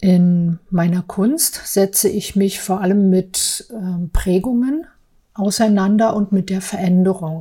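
Very slow, somewhat breathy speech with a dark, mellow tone and ordinary pitch variation. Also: woman, medium pitch for a woman. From East Berlin, Friedrichshain. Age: 40s. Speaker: office clerk and artist. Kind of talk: personal testimony.

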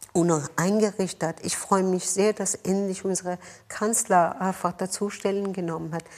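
With a Persian accent, a woman speaks at a moderate pace in a flat, monotone intonation. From Iran, Tehran. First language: Persian (speaking German). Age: 50s. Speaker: mayor and politician. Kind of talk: interview. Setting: office.

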